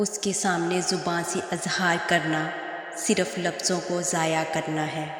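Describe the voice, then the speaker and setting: A woman speaks in a flat, monotone way. Background noise is noticeable. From Pakistan. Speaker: voice-over artist. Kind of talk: religious quotes narration.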